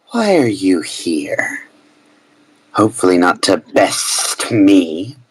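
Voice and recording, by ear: In a put-on character voice, the speaker talks very slowly at a low pitch with a menacing, sinister tone.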